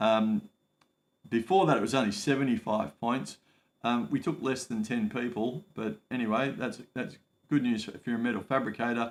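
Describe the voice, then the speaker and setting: Medium-pitched male speech in an Australian accent, delivered at a moderate pace. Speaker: migration advice livestreamer. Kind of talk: live stream Q&A. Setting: home livestream. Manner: casual, hesitant with many fillers.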